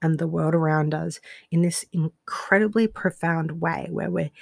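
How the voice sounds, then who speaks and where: A woman with an Australian accent, fairly low in pitch and fairly slow, in a dry, close sound with no echo on a very clean recording with a silent background. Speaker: life coach and podcast host. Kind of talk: solo monologue podcast. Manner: casual with frequent fillers and laughs.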